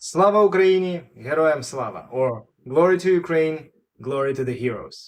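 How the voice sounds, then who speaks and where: An unremarkable speaking voice moves at a fairly slow pace. Its intonation is lively. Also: man, fairly high pitch for a man. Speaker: doctor, YouTube host. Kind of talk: intro to camera. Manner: casual.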